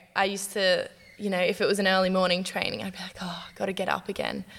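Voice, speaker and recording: At a fairly quick pace, a woman with medium pitch speaks in an Australian accent. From Newcastle, Australia. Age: 20s. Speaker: professional basketballer. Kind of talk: casual interview.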